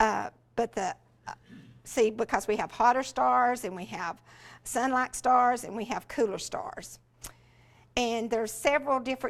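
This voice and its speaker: In a Southern US accent, a woman with a fairly high pitch speaks at a moderate pace on a very clean recording with a silent background. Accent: Southern US (Georgia). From US South, rural Georgia. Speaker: education specialist, former teacher. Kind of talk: workshop talk. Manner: animated.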